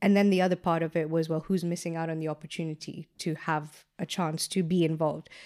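A woman's fairly low voice at a very fast pace, monotone and flat, with hardly any pauses, on a very clean recording with a silent background. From Kenya. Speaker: entrepreneur and consultant. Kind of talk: casual interview conversation. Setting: studio, face to face.

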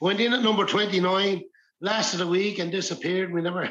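A man speaks at a moderate pace with fairly even intonation. His voice sits high in pitch. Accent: Irish. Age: 60s. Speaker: folk musician and music teacher. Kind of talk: casual chat.

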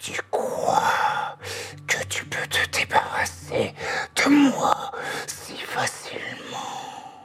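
The speaker uses a put-on character voice at an extremely high pitch, growling at a very slow pace. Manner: menacing.

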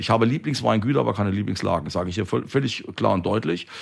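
Vocal fry runs through the voice. The delivery is very fast. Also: man. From Palatinate, Germany. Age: 50s. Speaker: winemaker. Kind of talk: interview. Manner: talkative, expansive.

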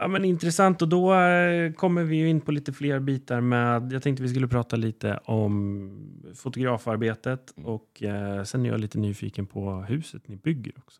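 In a very clean recording with a silent background and a dry, close sound with no echo, a man with a plain, everyday voice talks at medium pitch and a moderate pace, with lively intonation and big swings in loudness. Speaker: podcast host and real estate agent. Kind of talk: casual interview chat.

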